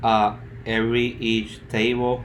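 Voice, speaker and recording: Room echo is audible in the recording. The man's voice sits at a medium pitch. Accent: strong Spanish. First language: Spanish. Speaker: student. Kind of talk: project presentation. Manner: halting.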